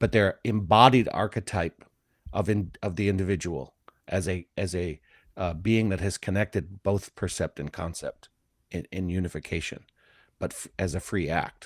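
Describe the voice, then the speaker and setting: In a very clean recording with a silent background, a man with a slight Midwestern accent speaks at a very deep, low pitch with ordinary pitch variation and a dry, close sound with no echo. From US Midwest, Flint, Michigan. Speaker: philosophy discussion co-host. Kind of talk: casual discussion. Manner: slower-paced; halting.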